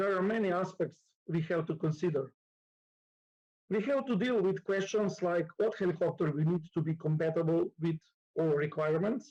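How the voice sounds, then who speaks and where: A man with a Slovenian accent speaks in a high pitch with a dark, mellow tone and ordinary pitch variation. His pace is moderate, his loudness very even, and his pauses long and frequent. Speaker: nurse and conference lecturer. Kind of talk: conference lecture. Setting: conference hall with live audience. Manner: halting, many fillers.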